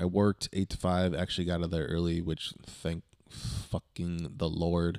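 Here a man with an American accent speaks in a very deep, low voice. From Southern California. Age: 20s. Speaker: podcast host. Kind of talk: casual monologue. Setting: home studio. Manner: low energy; halting.

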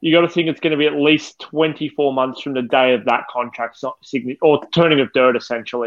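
Fairly high-pitched, a man with an Australian accent talks at a moderate pace. He leaves hardly any pauses. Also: fairly even intonation. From Australia (western Melbourne suburbs). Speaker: football fan podcast co-host. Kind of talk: casual chat; reading prepared match notes.

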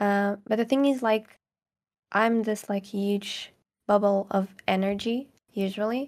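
In a very clean recording with a silent background, a woman with a Portuguese accent speaks at a moderate pace, her pitch fairly high and her intonation fairly even. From Portugal, near Caldas da Rainha. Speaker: ASMR creator. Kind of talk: casual interview chat.

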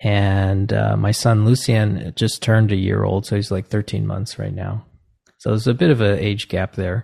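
A man with an American accent, fairly low pitch and a dark, mellow tone, somewhat breathy, at a moderate pace with fairly even intonation, in a dry, close sound with no echo against a quiet background. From US Northeast (New Jersey). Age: 40s. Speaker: composer and music professor. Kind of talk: casual interview conversation. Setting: video call.

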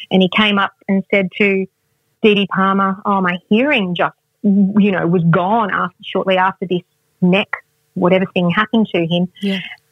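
A woman talks at a moderate pace with an Australian accent. Her medium-pitched voice is somewhat breathy and her intonation is monotone and flat. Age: 40s. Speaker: wellness expert and author. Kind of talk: interview.

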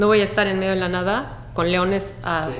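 A woman speaks over music in the background, with audible room echo. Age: 40s. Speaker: environmental activist and beach cleanup coordinator. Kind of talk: casual chat. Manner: animated.

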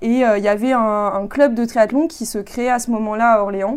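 A normal speaking voice from a woman, fairly high in pitch, with fairly even intonation at a moderate pace. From France. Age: 20s. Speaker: engineering consultant and amateur triathlete. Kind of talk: interview.

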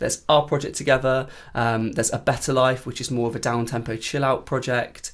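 Fairly quick and in a monotone, flat intonation, the speech comes through on a very clean recording with a silent background. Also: man, medium pitch for a man. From Cornwall, England. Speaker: countertenor singer. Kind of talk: casual chat. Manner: hesitant, many fillers.

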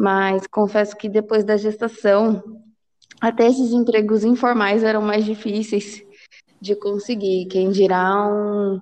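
Speaking at a very slow pace, a woman keeps to monotone, flat intonation. Her pitch is medium. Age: 20s. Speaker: program manager and mother. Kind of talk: podcast interview.

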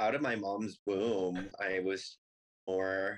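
The speaker has a normal speaking voice and an American accent. The pitch variation is ordinary. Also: man. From Colorado, US (Longmont). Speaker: drag queen. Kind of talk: casual chat.

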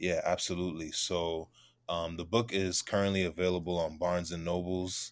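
In a New York accent, a man with a very deep, low pitch talks at a moderate pace in a monotone, flat way, with long, frequent pauses, on a very clean recording with a silent background. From Queens, New York. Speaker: novelist. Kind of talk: interview.

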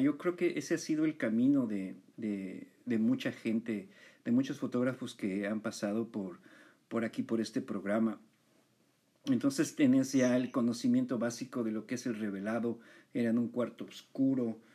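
In a very clean recording with a silent background, a man with a Mexican accent speaks at a moderate pace, his dark, mellow tone carried by lively intonation. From Mexico. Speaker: podcast host, photographer. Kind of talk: interview.

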